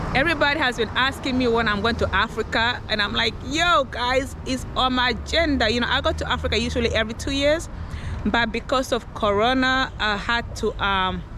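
High in pitch with ordinary pitch variation, a woman talks at a fairly quick pace, the sound dry with no echo and light background noise. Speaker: vlogger. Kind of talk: casual vlog chat. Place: street. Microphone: phone near.

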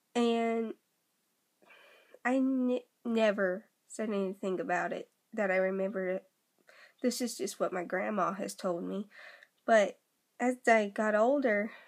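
A woman talks at a fairly slow pace, leaving long, frequent pauses. Her pitch variation is ordinary. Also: quiet background. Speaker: vlogger. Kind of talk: casual vlog chat, personal story. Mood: earnest, opening up. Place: home room. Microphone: phone near.

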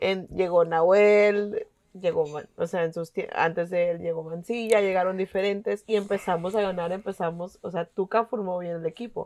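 A woman with an ordinary speaking voice talks at a fairly slow pace in a medium pitch, her intonation fairly even, over a quiet background. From Mexico, Monterrey; Nuevo León, Mexico. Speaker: podcast panelist, football fan; podcast panelist. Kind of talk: casual chat. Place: home room.

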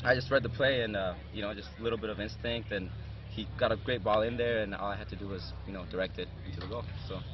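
A man's fairly low voice at a very fast pace, with fairly even intonation, dry sound with no echo and noticeable background noise. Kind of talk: interview answer. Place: stadium.

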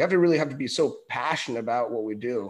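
Talking at a very fast pace with an American accent, the speaker shows ordinary pitch variation. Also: man. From California. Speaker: podcast host. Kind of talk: interview. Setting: video call.

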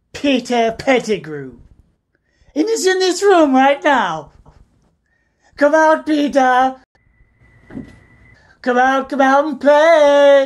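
A man's put-on character voice, extremely high-pitched, very slow, with long, frequent pauses. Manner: calm, measured, quietly wry.

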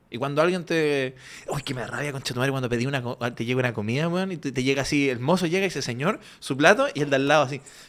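A man with a fairly high pitch talks at a very fast pace. His pitch varies in an ordinary way. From Chile. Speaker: comedian; podcast co-host. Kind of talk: casual chat. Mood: animated, joking, mock indignant. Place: studio. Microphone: studio mic.

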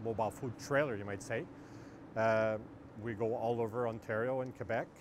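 Noticeable background noise surrounds a man talking at a fairly quick pace, and the sound is dry with no echo. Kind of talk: interview answer. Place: street. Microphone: lapel.

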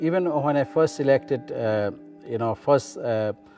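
Ordinary pitch variation, with a dry sound with no echo and faint music in the background. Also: man. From Bangladesh. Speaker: local councillor. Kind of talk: interview answer. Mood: calm, warm, reflective. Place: meeting room.

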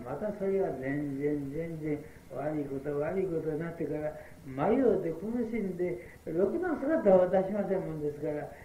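A man's voice with ordinary pitch variation, light background noise and audible room echo. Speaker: Buddhist priest giving a sermon; prison chaplain. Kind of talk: Buddhist sermon at a memorial service. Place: hall. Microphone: old recording.

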